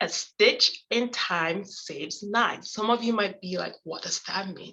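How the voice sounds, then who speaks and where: A woman speaks at a fairly slow pace in a fairly high pitch with ordinary pitch variation and an unremarkable speaking voice. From Canada. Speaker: conflict and negotiation educator. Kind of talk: lecture.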